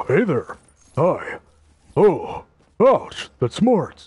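A put-on character voice with a fairly high pitch.

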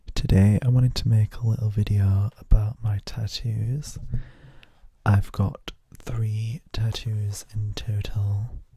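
A man whispers, soft-spoken and somewhat breathy, at a very slow pace. The sound is dry with no echo, over a quiet background. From UK. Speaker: ASMR creator. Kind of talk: casual talk to camera, ASMR show and tell. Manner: soft-spoken, whispering. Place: home room. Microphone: handheld.

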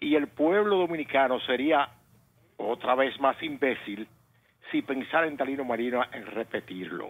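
In an ordinary speaking voice, a man talks at a fairly slow pace, fairly high in pitch, with lively intonation. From Dominican Republic. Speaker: engineer, caller; caller. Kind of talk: call-in political opinion. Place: studio.

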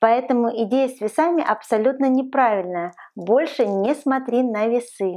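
A woman speaks at a moderate pace. Her voice is high, with ordinary pitch variation. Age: 40s. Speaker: lifestyle vlogger. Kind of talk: advice vlog monologue. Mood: warm, encouraging. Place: home room.

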